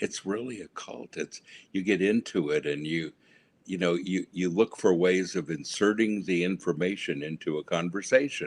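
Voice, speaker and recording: With lively intonation and a very deep, low pitch, a man talks at a moderate pace, recorded dry and close with no echo. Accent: American. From US West Coast. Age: 70s. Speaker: pastor. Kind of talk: testimony.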